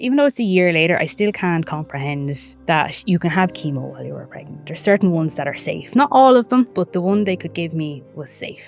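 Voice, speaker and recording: A woman with an Irish accent, fairly low pitch, lively intonation and a fairly quick pace, big swings in loudness, music in the background. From Ireland, County Wicklow. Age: 30s. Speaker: breast cancer survivor. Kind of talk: podcast interview answer.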